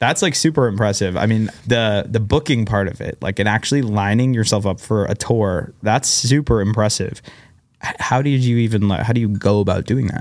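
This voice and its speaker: A man speaks in a normal speaking voice at a fairly quick pace. His pitch variation is ordinary. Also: fairly low pitch for a man. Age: 20s. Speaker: podcast host. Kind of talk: casual interview chat. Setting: studio.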